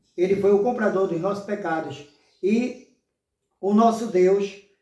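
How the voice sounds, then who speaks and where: With audible room echo, a man speaks in a high pitch using a dark, mellow tone and fairly even intonation. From Brazil, Pernambuco (Limoeiro). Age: 60s. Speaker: lay preacher. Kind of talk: sermon. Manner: halting, with many fillers.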